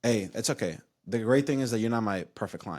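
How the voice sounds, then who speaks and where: An animated tone with ordinary pitch variation comes through on a very clean recording against a silent background. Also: man. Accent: Spanish. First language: Spanish. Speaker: insurance agency owner. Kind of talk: casual chat.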